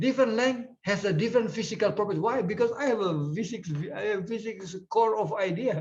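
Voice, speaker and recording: With an Indonesian accent, a man speaks high-pitched at a fairly quick pace, with ordinary pitch variation and hardly any pauses. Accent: Indonesian English, taken for Filipino. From eastern Indonesia, Ambon. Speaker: physics professor, keynote speaker. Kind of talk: conference lecture.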